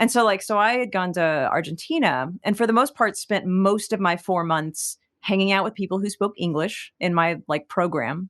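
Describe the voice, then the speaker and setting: A woman has an unremarkable speaking voice at a medium pitch with lively intonation. She speaks at a moderate pace against a quiet background. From Texas. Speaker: singer-songwriter. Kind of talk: interview conversation. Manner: casual, many fillers.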